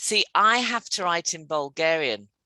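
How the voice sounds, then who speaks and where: In a British accent, a woman speaks with a bright, sharp tone and very wide pitch swings, the sound dry and close with no echo. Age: 50s. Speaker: English teacher. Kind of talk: casual conversation lesson.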